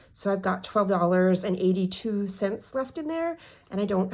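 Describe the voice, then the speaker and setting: Soft-spoken and medium-pitched, a woman talks at a fairly quick pace. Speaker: budgeting vlogger. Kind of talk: casual budget walkthrough. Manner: halting, self-correcting. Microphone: new microphone, hopefully louder.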